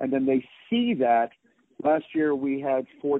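An ordinary speaking voice from a man, medium in pitch. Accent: American. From New York City. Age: 50s. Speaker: martial arts grandmaster and former champion. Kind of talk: interview.

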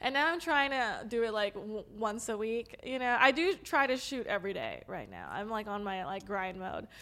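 A woman with an American accent speaks at a moderate pace with hardly any pauses, her voice fairly high and her tone bright and sharp. Her pitch varies an ordinary amount, and the recording is very clean with a silent background. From Los Angeles, San Fernando Valley. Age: 20s. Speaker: adult content creator. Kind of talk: casual chat.

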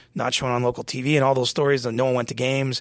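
With a Canadian accent, a man uses an ordinary speaking voice at medium pitch and a fairly quick pace, recorded with a dry, close sound and no echo. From small-town Ontario, Canada. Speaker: hockey reporter. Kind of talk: casual chat. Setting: studio.

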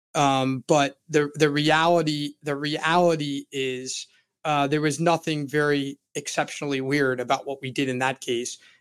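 Fairly high-pitched speech from a man with an American accent, moderate in pace and fairly even in intonation, on a very clean recording with a silent background. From Florida. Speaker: criminal defense attorney. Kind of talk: interview. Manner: halting, repeats words.

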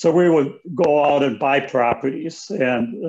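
A man with an American accent speaks in a normal speaking voice. His pitch is fairly high and his intonation lively. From rural Wisconsin, US Midwest. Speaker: author and former real estate broker. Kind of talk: interview.

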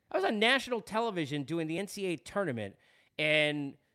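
On a very clean recording with a silent background, a man with a Long Island accent talks at a fairly quick pace in a bright, sharp, animated tone, his fairly high pitch moving in very wide swings. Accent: Long Island New York. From New York, Long Island. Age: 40s. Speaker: sports podcast host. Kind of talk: casual monologue.

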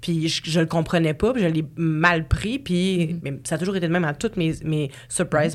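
Speaking in a Quebec accent, a woman keeps a moderate pace. Her pitch is fairly low with ordinary variation. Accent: Québécois French. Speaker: podcast host. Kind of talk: casual chat.

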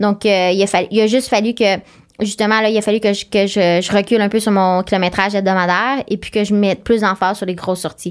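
The speech comes at a very fast pace in monotone, flat intonation. The recording is very clean, with a silent background. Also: woman, medium pitch for a woman. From Quebec, Eastern Townships. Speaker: ultramarathon runner. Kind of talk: interview conversation.

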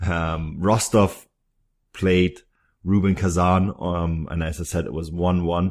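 A man with a German accent and very deep, low pitch, on a very clean recording with a silent background. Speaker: football podcast host. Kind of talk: casual chat.

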